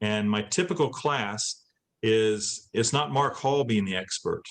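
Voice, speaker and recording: A man in a normal speaking voice with ordinary pitch variation. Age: 60s. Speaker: former inmate and adult education instructor. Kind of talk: Q&A after a talk.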